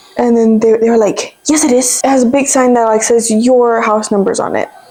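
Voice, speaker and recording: A woman's fairly high, flat monotone voice at a fairly quick pace and very even loudness, amid noticeable background noise. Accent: Spanish. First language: Spanish. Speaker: YouTuber. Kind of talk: casual chat.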